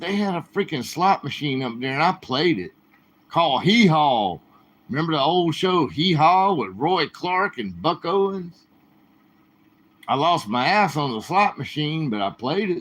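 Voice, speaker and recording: Delivered at a fairly slow pace with lively intonation, this American accent comes through on a very clean recording with a silent background. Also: man, fairly high pitch for a man. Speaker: livestreamer. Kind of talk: casual chat. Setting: live stream. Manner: animated.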